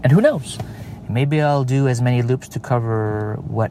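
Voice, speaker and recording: A man speaks at a fairly slow pace with ordinary pitch variation. The recording has audible room echo and noticeable background noise. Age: 40s. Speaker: podcast host. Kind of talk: casual monologue. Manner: halting, many fillers.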